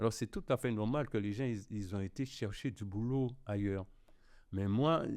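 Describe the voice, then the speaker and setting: A man with an ordinary speaking voice, fairly low pitch, ordinary pitch variation and a fairly slow pace, against a quiet background. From Guadeloupe. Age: 60s. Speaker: cassava artisan. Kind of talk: podcast interview.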